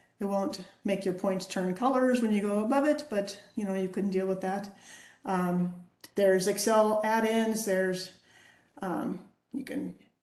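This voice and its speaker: Long pauses come often, and the pitch varies in an ordinary way. An audible echo fills the room. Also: woman, medium pitch for a woman, fairly slow pace. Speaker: quality engineer presenting a webinar. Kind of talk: lecture. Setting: video call.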